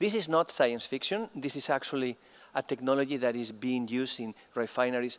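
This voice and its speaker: A man at medium pitch with a Spanish accent, ordinary pitch variation and a dry, close sound with no echo. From Spain. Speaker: chemistry professor. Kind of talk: conference keynote lecture. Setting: conference stage with audience.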